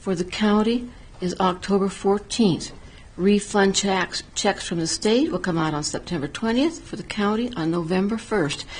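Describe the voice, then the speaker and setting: Her voice comes across as somewhat breathy. The woman keeps a fairly slow pace. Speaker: town council member. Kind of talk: council meeting report. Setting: town council meeting.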